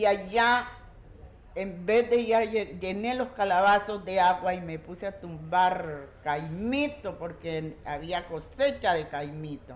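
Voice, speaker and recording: Very slow, lively-intoned speech from a woman. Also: medium pitch for a woman. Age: 70s. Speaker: community elder. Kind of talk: oral storytelling.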